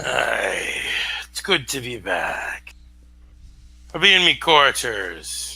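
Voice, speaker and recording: Raspy put-on character voice from a man, very slow and full of long, frequent pauses. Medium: actual play. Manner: curt, gruff.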